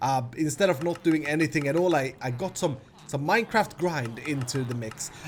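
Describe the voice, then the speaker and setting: Music plays in the background as a man with a fairly high pitch talks at a moderate pace with ordinary pitch variation. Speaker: Minecraft YouTuber. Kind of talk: gameplay commentary. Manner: hesitant with fillers.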